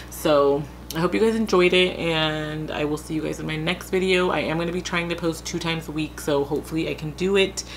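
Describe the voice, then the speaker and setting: A quiet woman's voice, very deep and low in pitch, fairly even in intonation, at a fairly quick pace, against noticeable background noise. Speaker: beauty youtuber. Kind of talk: tutorial. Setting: at home, late at night.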